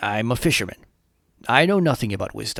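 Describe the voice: A man's put-on character voice, raspy, husky and gruff, at medium pitch and very fast pace, on a very clean recording with a silent background.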